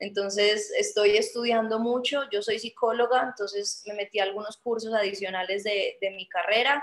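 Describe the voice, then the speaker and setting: Against a quiet background, a woman speaks at a moderate pace with hardly any pauses. Her pitch is fairly high, with fairly even intonation. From Colombia, Medellín. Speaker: Olympic artistic swimmer; guest. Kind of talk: video call Q&A interview. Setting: video call. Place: home room. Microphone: video call.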